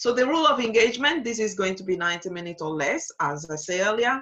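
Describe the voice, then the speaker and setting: Delivered at a fairly quick pace, the speech has a French accent and lively intonation. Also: woman. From Togo (Lomé). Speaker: digital strategist. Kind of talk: webinar masterclass. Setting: online webinar. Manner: hesitant with frequent fillers.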